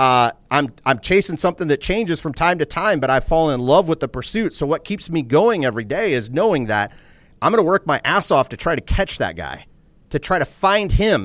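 With vocal fry and a fairly high pitch, a man speaks at a moderate pace with lively intonation and an intense tone, in a dry, close sound with no echo. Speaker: entrepreneur. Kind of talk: casual interview conversation. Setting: studio. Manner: candid, profane, intense.

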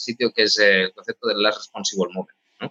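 Someone speaks at a very fast pace, the sound dry and close with no echo. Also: man. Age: 40s. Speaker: tech executive, CTO. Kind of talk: interview.

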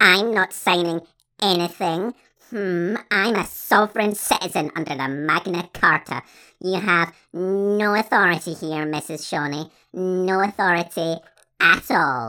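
On a very clean recording with a silent background, a man speaks at a high pitch. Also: fairly slow pace. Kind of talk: comic overacting. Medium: comedy sketch. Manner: pompous, indignant, ranting.

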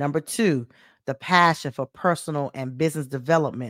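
A woman's very deep, low-pitched voice, animated in tone, at a moderate pace, with a dry, close sound and no echo. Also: very clean recording, silent background. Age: 40s. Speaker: motivational speaker and business coach. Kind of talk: solo podcast monologue.

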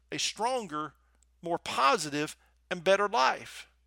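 A man with a Southern US accent uses a raised, projected voice. His tone is animated and warm, yet also bright and sharp. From US South. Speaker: podcast host and motivational speaker. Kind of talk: motivational podcast monologue with prayer. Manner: animated, warm, encouraging.

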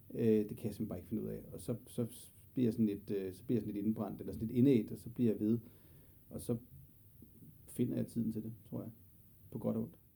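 A very fast, fairly low-pitched man's voice, dark and mellow with vocal fry, fairly even intonation, big swings in loudness and long, frequent pauses. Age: 40s. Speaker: general practitioner. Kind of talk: interview. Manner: halting, many fillers.

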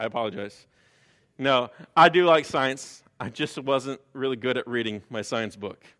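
In an American accent, a man speaks at medium pitch with ordinary pitch variation and an animated, bright, sharp tone. The recording is very clean, with a silent background. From US Midwest, Chicago. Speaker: guest preacher. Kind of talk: sermon. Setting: church with congregation. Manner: fast.

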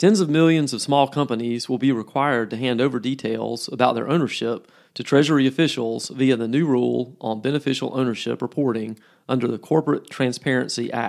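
Here is a man with an unremarkable speaking voice at a medium pitch. He talks at a fairly quick pace with fairly even intonation. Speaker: podcast host. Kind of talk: formal news reading. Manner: measured, steady newsreader pace; formal, crisp and businesslike.

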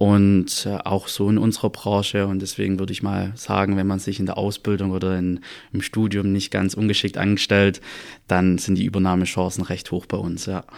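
A man's fairly low voice in a monotone, flat intonation at a moderate pace, on a very clean recording with a silent background. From Stuttgart, Swabia (southwest Germany). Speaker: audit and tax assistant, former dual student. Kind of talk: podcast interview.

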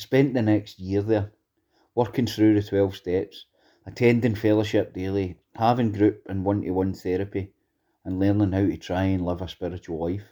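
A man in a west of Scotland accent, fairly low in pitch with a dark, mellow tone and fairly even intonation, on a very clean recording with a silent background. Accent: west of Scotland Scottish. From Scotland, Greenock (west of Scotland). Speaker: former prisoner in recovery, actor and school mentor. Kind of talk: personal testimony.

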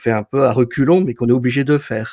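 Recorded very cleanly with a silent background and a dry, close sound with no echo, a man at medium pitch speaks at a very fast pace with fairly even intonation. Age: 40s. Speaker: photographer and entrepreneur. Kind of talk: interview.

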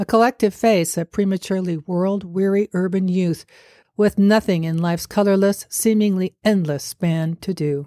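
In a very clean recording with a silent background and a dry, close sound with no echo, a woman speaks at a moderate pace in an unremarkable speaking voice of medium pitch. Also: fairly even intonation. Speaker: podcast host and storyteller. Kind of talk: dramatic story narration, read aloud.

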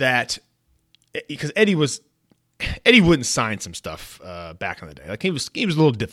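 With an American accent, a man speaks at a moderate pace in a fairly high, bright, sharp tone with vocal fry. His pitch swings very widely, and the recording is very clean with a silent background. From US West Coast, San Francisco Bay Area. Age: 40s. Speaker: podcast host and sports memorabilia dealer. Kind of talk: casual solo podcast monologue. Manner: conversational with frequent fillers and laughs.

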